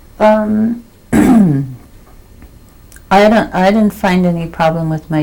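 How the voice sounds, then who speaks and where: A woman's pitch rises and falls normally as clear noise plays behind her. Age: 60s. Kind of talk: oral history interview. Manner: halting, with frequent fillers.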